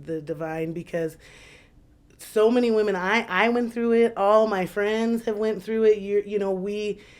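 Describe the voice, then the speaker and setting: A woman speaks in a plain, everyday voice at a moderate pace. Her pitch varies in an ordinary way. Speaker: visual artist. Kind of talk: casual interview.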